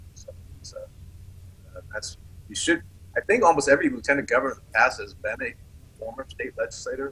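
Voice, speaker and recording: The speech runs at a very fast pace, with big swings in loudness. Long pauses break it up often. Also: man. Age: 60s. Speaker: political candidate, Air Force veteran. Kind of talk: interview.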